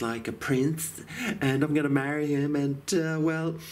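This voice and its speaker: With an Australian accent, this man talks at a moderate clip. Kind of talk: casual talk to camera. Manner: calm.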